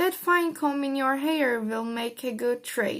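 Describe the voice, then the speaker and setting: A woman puts on a squeaky, high-pitched character voice. She delivers it at a fairly slow pace. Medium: read story. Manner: wheedling.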